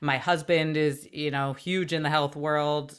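With fairly even intonation, a woman talks in a very deep, low pitch. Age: 30s. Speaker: former TV news journalist, health and wellness expert. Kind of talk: casual chat.

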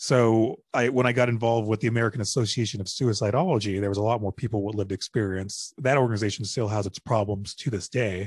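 A man with a medium pitch and a somewhat breathy voice speaks at a very fast pace with hardly any pauses. His intonation is fairly even, over a quiet background. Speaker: mental health advocate and public speaker. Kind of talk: casual interview chat. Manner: casual, conversational.

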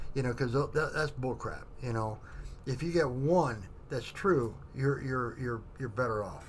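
A man with a medium, somewhat breathy voice speaks at a fairly slow pace with ordinary pitch variation, and the room echo is audible. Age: 50s. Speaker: military veteran. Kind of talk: casual chat. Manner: halting.

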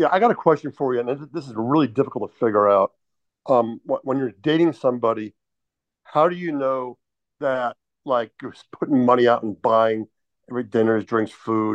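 The sound is dry and close, with no echo. A man talks at a fairly quick pace and medium pitch with ordinary pitch variation. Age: 60s. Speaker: meetup participant seeking dating advice. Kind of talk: casual chat. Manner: halting.

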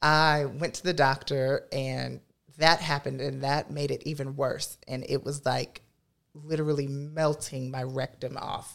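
On a very clean recording with a silent background, a woman with an American accent speaks at a fairly slow pace in a very deep, low pitch with a monotone, flat intonation. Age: 20s. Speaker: drag performer. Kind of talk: testimony.

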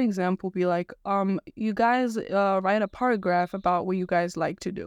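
A woman at a moderate pace, fairly even intonation, dry close sound with no echo, quiet background. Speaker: podcast host. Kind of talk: casual solo monologue. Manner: casual, hesitant, filler words.

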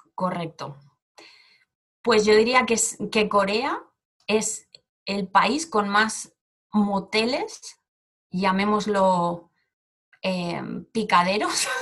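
At a very slow pace, a woman speaks with long, frequent pauses. Her pitch is medium with ordinary variation. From Spain, Barcelona. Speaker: Spanish teacher. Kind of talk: casual interview.

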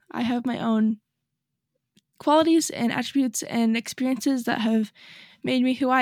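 With an American accent, a woman speaks at a high pitch and a fairly quick pace, broken by long, frequent pauses, in a dry, close sound with no echo on a very clean recording with a silent background. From northern Utah, US. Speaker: life coach and podcast host. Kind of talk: solo motivational podcast talk.

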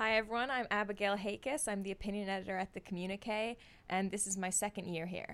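Speaking at a very fast pace, a woman keeps a medium pitch and fairly even intonation. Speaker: student opinion editor. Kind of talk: casual chat, advice conversation.

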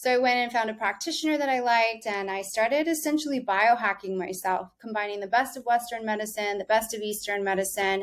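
Talking at a very fast pace with hardly any pauses, a woman with an American accent has a fairly high pitch and ordinary pitch variation. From US South. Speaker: wellness company founder. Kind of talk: casual interview.

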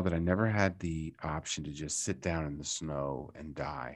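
The recording is very clean with a silent background, carrying a man who speaks with an American accent. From Maryland, US. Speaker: actor and improv comedian. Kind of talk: interview.

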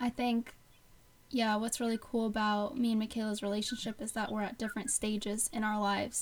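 At a fairly quick pace, a woman with a fairly high pitch speaks in a somewhat breathy, monotone, flat intonation. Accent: American. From Bucks County, Pennsylvania. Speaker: podcast co-host, student. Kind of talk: casual chat. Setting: remote recording.

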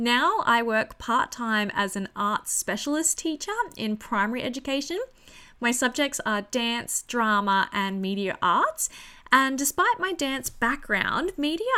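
With an Australian accent, a woman speaks in a high voice, with an animated tone and lively intonation. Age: 30s. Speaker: podcast host. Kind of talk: casual solo podcast monologue.

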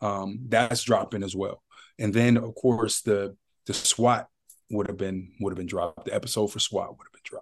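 Big swings in loudness mark a man's fairly low voice. He speaks with an American accent at a moderate pace. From Ohio, Youngstown. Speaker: actor. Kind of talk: casual chat. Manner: animated.

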